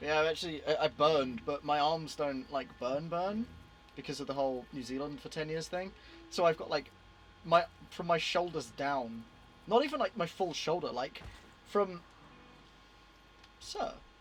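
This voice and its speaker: A man with a British accent speaks at a moderate pace in a fairly high voice, his pitch varying in an ordinary way, with long pauses coming often. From Britain. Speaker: gaming streamer. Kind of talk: casual live stream chat.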